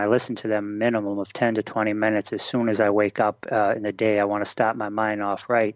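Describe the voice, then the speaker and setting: With a Boston accent, a man speaks at a moderate pace and medium pitch. The sound is dry and close with no echo, against a quiet background. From Boston, Massachusetts. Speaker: internet marketing expert. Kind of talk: interview. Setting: radio show.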